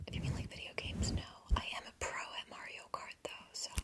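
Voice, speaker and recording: Noticeable background noise runs under a whisper that moves at a moderate pace. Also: woman. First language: German. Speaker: ASMR YouTuber. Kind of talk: casual Q&A chat. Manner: whispering.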